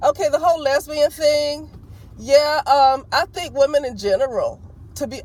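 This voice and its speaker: Loud and passionate, a woman speaks in an Alabama accent with lively intonation. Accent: still country, Alabama. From US South, Alabama. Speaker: vlogger. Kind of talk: opinion vlog monologue.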